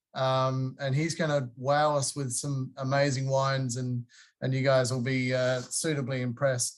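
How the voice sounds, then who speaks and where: In a very clean recording with a silent background, a man talks at a moderate pace. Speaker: wine distributor representative. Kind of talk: casual introduction.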